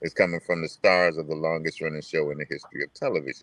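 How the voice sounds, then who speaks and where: A man speaks very fast with an American accent. The sound is dry and close, with no echo. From New York. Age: 70s. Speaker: hip hop pioneer and DJ. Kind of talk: casual interview.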